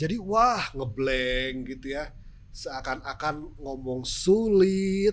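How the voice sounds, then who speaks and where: A man's fairly high voice with lively intonation at a very slow pace. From West Java, Sundanese. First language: Sundanese (speaking Indonesian). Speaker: TV news presenter. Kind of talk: podcast interview.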